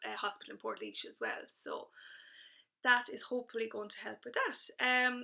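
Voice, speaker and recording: With big swings in loudness, a woman talks at a moderate pace. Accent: Irish. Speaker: fitness instructor vlogger. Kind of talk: casual video update. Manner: hesitant with fillers.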